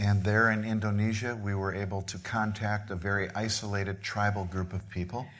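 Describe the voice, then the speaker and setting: Speech comes at a moderate pace in a monotone, flat delivery with hardly any pauses. Room echo is audible. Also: man, fairly low pitch for a man. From Midwest US. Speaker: missionary preacher. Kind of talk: sermon.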